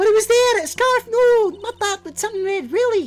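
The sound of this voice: A strained, squeaky put-on character voice at an extremely high pitch moves at a fairly quick pace with ordinary pitch variation. Faint music plays in the background.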